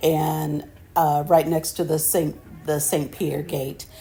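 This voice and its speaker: A woman's very deep, low, dark and mellow voice with vocal fry, monotone and flat at a fairly slow pace. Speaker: travel vlogger. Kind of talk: travel vlog narration. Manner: halting.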